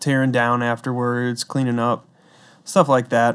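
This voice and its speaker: A man with an ordinary speaking voice at medium pitch and fairly even intonation, on a very clean recording with a silent background. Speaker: guest, music mixing engineer. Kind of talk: casual interview.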